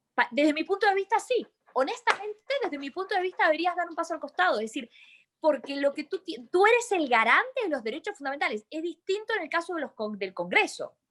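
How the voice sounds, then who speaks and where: A woman's extremely high voice with an Argentine accent, very fast pace and very wide pitch swings. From Argentina. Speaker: lawyer and university lecturer. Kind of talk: webinar discussion.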